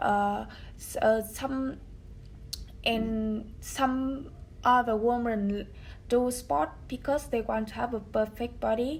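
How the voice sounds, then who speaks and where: A somewhat breathy woman's voice, fairly high in pitch with ordinary pitch variation, at a very slow pace with long, frequent pauses. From Vietnam. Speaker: English learner. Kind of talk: speaking test practice. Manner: halting.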